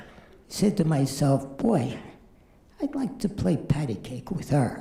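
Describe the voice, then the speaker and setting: A man with a dark, mellow, somewhat breathy tone speaks at a fairly slow pace, his fairly high pitch making very wide swings. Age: 70s. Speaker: amateur stand-up comedian. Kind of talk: stand-up.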